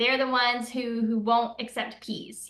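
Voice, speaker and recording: With a Southern US accent, a woman speaks at a moderate pace in a fairly high voice over noticeable background noise. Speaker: political commentator. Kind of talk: interview conversation. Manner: loud.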